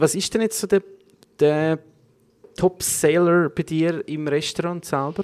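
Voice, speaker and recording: The man's voice is high in pitch, with ordinary pitch variation and long, frequent pauses, recorded with a dry, close sound and no echo. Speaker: podcast host. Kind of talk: casual chat.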